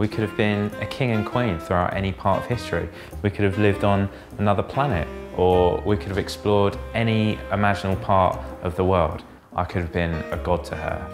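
A man's very deep, low voice at a fairly quick pace, ordinary pitch variation, clear music playing in the background. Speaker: stand-up comedian. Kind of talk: comedic monologue to camera.

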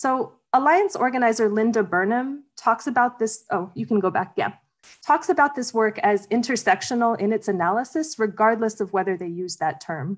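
A fairly high-pitched woman with lively intonation against a quiet background. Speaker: academic and activist organizer. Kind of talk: slide presentation talk. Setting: video call. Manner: fast talker. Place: home room. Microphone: video call.

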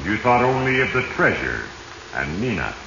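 A man puts on a character voice with a bright, sharp tone and fairly low pitch, moving at a moderate pace with big pitch swings and audible room echo.

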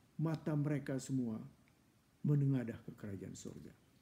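A man's somewhat breathy, dark, mellow voice, solemn and passionate in tone, fairly quick, with ordinary pitch variation. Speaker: church preacher. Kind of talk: fervent, heartfelt prayer in a devotional session, petitions to God. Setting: online church broadcast. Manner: earnest, pleading, solemn and passionate. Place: home room. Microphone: earbuds.

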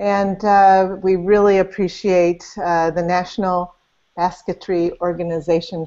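Over a quiet background, a woman speaks at a fairly slow pace with monotone, flat intonation. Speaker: interview host. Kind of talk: interview introduction. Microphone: video call.

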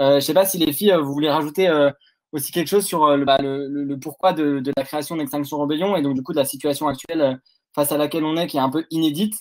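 Speaking very fast against a quiet background, a man with a fairly high voice keeps his intonation fairly even. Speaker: activist video host. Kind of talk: panel discussion. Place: home room.

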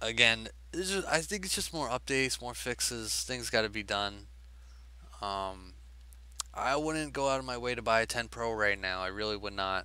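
Dry, echo-free sound and a man's voice at a moderate pace. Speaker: tech vlogger. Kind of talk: casual vlog chat. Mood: mildly frustrated, casual. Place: home room. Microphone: headset.

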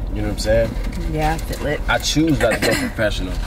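A man is heard in a dry sound with no echo. There is noticeable background noise. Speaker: vlogger. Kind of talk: casual vlog chat. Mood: joking boastful storytelling. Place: car. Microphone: phone near.

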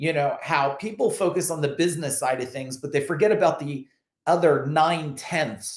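Over a quiet background with audible room echo, a man speaks at a moderate pace with ordinary pitch variation. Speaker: business coach. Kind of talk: motivational talk to camera. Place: home room. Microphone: webcam.

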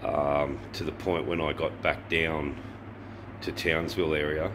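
Monotone, flat delivery from a man with a very deep, low pitch, with noticeable background noise. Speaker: motorbike travel vlogger. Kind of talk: casual vlog chat. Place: garage. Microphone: phone near.

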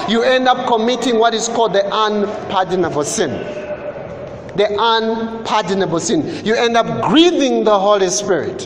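Noticeable background noise sits behind this man's voice. He speaks at a moderate pace with a high pitch. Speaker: preacher. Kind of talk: sermon. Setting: church. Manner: animated; call-and-response with congregation.

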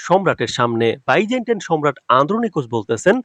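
Very wide swings of pitch in a man's fairly high voice. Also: dry, close sound with no echo. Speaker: YouTube drama trailer analyst. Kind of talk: commentary on a TV trailer with comment replies.

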